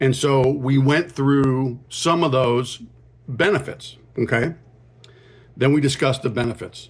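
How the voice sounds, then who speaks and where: A man speaks at a fairly slow pace with long, frequent pauses, his voice somewhat breathy. His intonation is fairly even and his loudness very even. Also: medium pitch for a man. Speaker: podcast host. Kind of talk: solo podcast monologue. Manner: casual, conversational.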